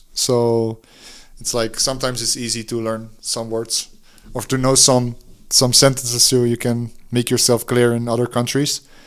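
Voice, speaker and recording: A man speaks at a medium pitch and a moderate pace with a Dutch accent and monotone, flat intonation. The recording is very clean, with a silent background. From Netherlands. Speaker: DJ and music producer. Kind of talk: interview. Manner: halting.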